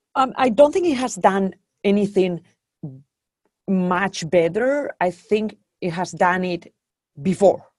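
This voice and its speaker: Using a slight Spanish accent, a woman speaks at a very slow pace in a medium pitch with ordinary variation and long, frequent pauses. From Spain. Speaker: venture capital investor. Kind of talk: interview. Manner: hesitant with many fillers.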